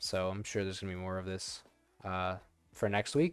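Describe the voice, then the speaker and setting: Fairly quick speech with music in the background. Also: man. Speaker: game developer streamer. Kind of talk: live coding stream. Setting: live stream with webcam. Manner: fast; casual, many fillers.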